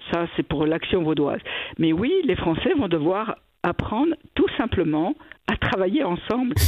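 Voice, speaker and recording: An unremarkable speaking voice at a moderate pace. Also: woman. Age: 60s. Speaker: cantonal government minister. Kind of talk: radio interview.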